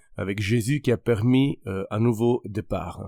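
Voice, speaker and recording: A man speaks at a medium pitch with a slight Italian accent and ordinary pitch variation. The recording is very clean with a silent background and a dry, close sound with no echo. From Italy. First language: Italian (speaking French). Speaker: pastor and podcast host. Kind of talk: religious podcast monologue. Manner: halting, many hesitations.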